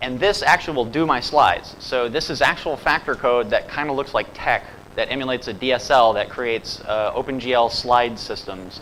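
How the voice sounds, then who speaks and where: A man talks at a fairly quick pace, hardly pausing, while noticeable background noise continues around him. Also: medium pitch for a man, ordinary pitch variation. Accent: slight Southern US. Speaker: software developer and conference speaker. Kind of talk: conference talk. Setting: stage with audience. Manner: casual, animated.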